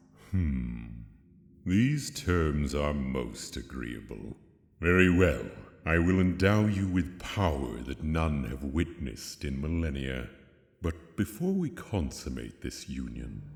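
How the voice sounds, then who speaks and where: Put-on character voice from a man, very deep and low, at a fairly slow pace with clear echo. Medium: audio drama. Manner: haughty, languid, condescending.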